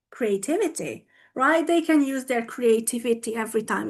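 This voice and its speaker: A woman with a Hungarian accent speaks with lively intonation against a quiet background. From Hungary. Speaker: English teacher and teacher trainer. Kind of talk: conference talk. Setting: online video conference. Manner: animated.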